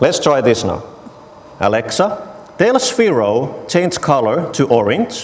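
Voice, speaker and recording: A man with a Finnish accent at a fairly slow pace, fairly high in pitch with very wide pitch swings, amid audible room echo and noticeable background noise. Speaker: technology evangelist. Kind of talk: conference talk with live demo.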